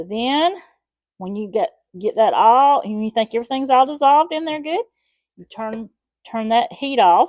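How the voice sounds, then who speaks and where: The speaker has a Southern US accent and very wide pitch swings. The sound is dry and close, with no echo. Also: woman. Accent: Southern American. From Southern US, Alabama. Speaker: home cook. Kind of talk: casual cooking demonstration to camera.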